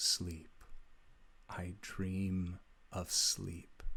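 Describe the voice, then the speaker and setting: A man puts on a robotic character voice pitched very deep and low. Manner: eerie, dreamy.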